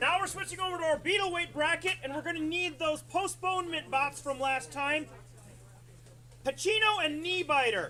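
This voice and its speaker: A man speaks in a raised, projected voice at an extremely high pitch. His pace is moderate and his pitch variation ordinary. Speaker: robot combat announcer. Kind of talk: live commentary. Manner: loud.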